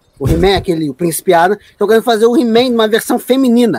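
A man with a high-pitched voice speaks with ordinary pitch variation. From Rio de Janeiro, Brazil (Praça Seca). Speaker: podcast guest. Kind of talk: casual chat.

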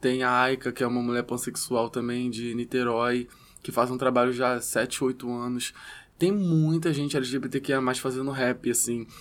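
An unremarkable speaking voice from a man at a medium pitch and a fairly slow pace. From Rio de Janeiro, West Zone favela. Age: 20s. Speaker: rapper. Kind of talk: casual interview chat.

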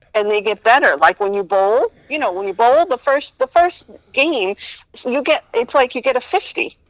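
The speaker moves at a moderate pace with very wide pitch swings, in a dry, close sound with no echo. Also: woman, high pitch for a woman. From New Jersey. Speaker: comedian. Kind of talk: casual chat.

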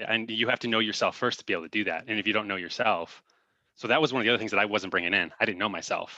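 A very fast-talking man with an American accent, fairly low in pitch, bright and sharp in tone, with fairly even intonation over a quiet background. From Northwest Indiana, US Midwest. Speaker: dating coach. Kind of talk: interview.

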